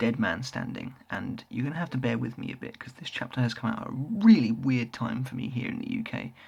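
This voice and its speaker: A man with a British accent, talking with hardly any pauses. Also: fairly quick pace. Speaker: manga reviewer, YouTuber. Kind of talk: casual review monologue. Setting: at home, late night. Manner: quieter than usual.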